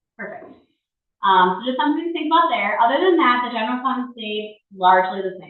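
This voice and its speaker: Audible room echo surrounds a woman's voice. Her pitch swings very widely. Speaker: village finance administrator. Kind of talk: budget presentation at board meeting. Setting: village board meeting room. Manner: fast.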